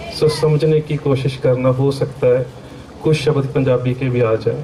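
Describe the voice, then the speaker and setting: A man speaks in a fairly high, monotone voice with flat intonation and very even loudness. Room echo is audible, and background noise is noticeable. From Punjab, India (Amritsar). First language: Punjabi (speaking Hindi). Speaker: Sikh scholar and lecturer. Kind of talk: religious seminar lecture. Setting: seminar hall with audience.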